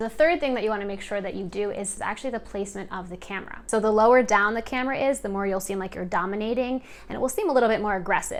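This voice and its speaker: With an animated tone at medium pitch, a woman talks at a very fast pace. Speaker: video coach. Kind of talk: tutorial.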